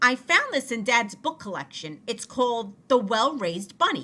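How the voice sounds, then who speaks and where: A high-pitched, put-on character voice from a woman at a moderate pace. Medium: read story.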